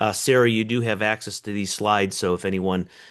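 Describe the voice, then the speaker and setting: Against a quiet background, a man speaks at a moderate pace. His intonation stays fairly even. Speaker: economist. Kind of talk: webinar presentation.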